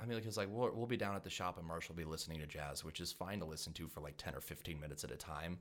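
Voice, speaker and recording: Against noticeable background noise, a man with a very deep, low pitch rattles along at a very fast pace with hardly any pauses and ordinary pitch variation. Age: 20s. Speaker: pianist and musician. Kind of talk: casual chat.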